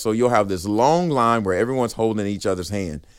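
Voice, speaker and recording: A man with an American accent, medium pitch, ordinary pitch variation and a fairly quick pace. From Texas (Riesel, rural Central Texas). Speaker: motivational podcast host. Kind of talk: motivational monologue.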